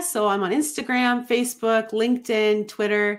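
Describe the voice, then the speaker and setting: A woman with a Canadian accent. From Ontario, Canada. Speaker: life coach. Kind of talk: interview.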